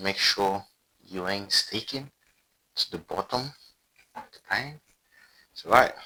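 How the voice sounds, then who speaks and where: Very slow speech from a man with a non-native accent. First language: not English. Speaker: cooking video creator. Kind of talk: cooking tutorial. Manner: casual, chatty.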